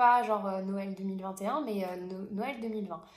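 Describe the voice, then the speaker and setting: A woman speaks at a medium pitch with ordinary pitch variation. There is noticeable background noise and audible room echo. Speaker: sewing and knitting vlogger. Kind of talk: casual podcast monologue. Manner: hesitant, many fillers.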